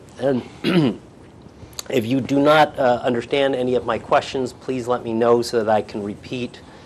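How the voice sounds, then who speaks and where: Through noticeable background noise, a man with an American accent talks at a medium pitch and moderate pace. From New York. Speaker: attorney. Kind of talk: deposition questioning. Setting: deposition room.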